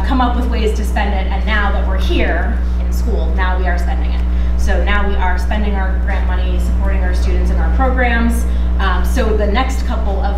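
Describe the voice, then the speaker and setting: A woman speaks at a moderate pace amid loud background noise, and the room echo is audible. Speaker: council presenter. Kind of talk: presentation to a meeting. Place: classroom. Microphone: camera far.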